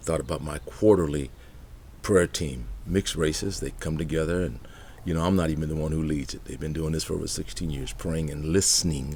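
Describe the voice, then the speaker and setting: In a very deep, low pitch with a dark, mellow tone and vocal fry, a man speaks at a fairly quick pace amid audible room echo. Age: 60s. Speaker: pastor. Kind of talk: motivational talk.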